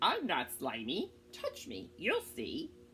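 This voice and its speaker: A woman's put-on character voice at a very slow pace, over clear background noise. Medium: read story. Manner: persistent, coaxing.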